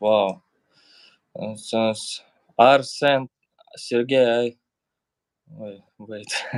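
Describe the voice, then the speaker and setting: A man with a strong Russian accent, in a dry, close sound with no echo. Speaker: YouTuber. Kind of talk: casual chat.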